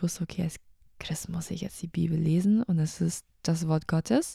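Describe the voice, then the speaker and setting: In a very clean recording with a silent background, a somewhat breathy woman speaks at a moderate pace and fairly low pitch, her tone dark and mellow and her intonation fairly even. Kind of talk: casual personal talk about faith.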